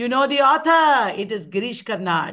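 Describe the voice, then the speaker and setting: Against a quiet background, a woman speaks in a bright, sharp tone with lively intonation. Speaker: teacher. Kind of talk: online exam-prep lecture. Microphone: webcam.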